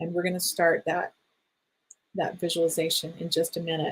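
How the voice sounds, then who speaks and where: A woman speaks at a medium pitch, and her voice is somewhat breathy. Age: 60s. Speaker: energy healing teacher. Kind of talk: online workshop talk.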